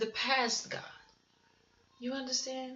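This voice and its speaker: Audible room echo around a woman's high voice. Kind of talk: sermon-style testimony. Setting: home recording at night.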